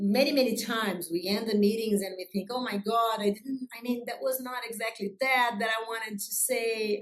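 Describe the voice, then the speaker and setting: Fairly quick speech from a woman with a Brazilian accent, fairly high in pitch. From Brazil, Rio de Janeiro. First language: Portuguese. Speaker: business executive. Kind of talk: interview. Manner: loud; energetic.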